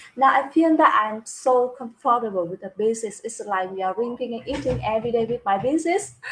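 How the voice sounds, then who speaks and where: Speaking with a Vietnamese accent, a woman talks at a fairly quick pace with lively intonation and hardly any pauses. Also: fairly high pitch for a woman. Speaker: business talk show host, construction manager. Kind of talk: casual live-stream interview chat. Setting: live video stream. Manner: halting, with repeated words and fillers.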